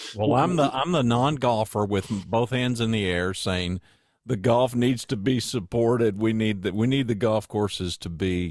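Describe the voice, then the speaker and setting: A man talks at a moderate pace and medium pitch in a plain, everyday voice, with ordinary pitch variation. The recording is very clean, with a silent background. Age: 60s. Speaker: podcast host. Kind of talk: casual interview chat.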